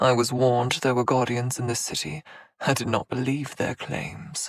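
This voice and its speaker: A man in a put-on character voice with medium pitch, ordinary pitch variation and a moderate pace, with hissing in a dry, close sound with no echo. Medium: read story. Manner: unfazed, sneering, formal.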